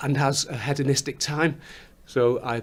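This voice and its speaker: This man talks with fairly even intonation in a slight Scouse accent. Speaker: musician, songwriter. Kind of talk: interview. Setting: recording studio. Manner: halting, repeats words.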